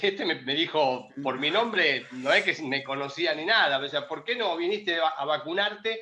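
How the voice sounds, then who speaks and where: With noticeable noise behind him, a man talks using ordinary pitch variation. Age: 60s. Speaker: retired volleyball player, Olympic medalist. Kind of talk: interview.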